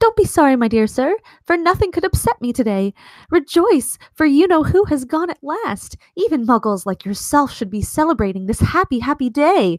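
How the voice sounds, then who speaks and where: A woman puts on a squeaky character voice, high in pitch with very wide pitch swings. She moves at a moderate pace. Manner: joyful, effusive.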